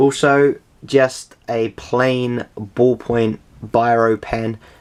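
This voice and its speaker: A man talks with a British accent. His intonation is fairly even. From England. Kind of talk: casual talk to camera. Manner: hesitant, casual.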